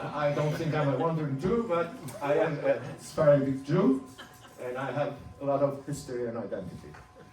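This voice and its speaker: A man with a non-native accent at a fairly high pitch and moderate pace, ordinary pitch variation, audible room echo and music in the background. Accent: foreign. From Turkey. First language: Ladino. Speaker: speaker sharing his life story. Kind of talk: personal talk to an audience.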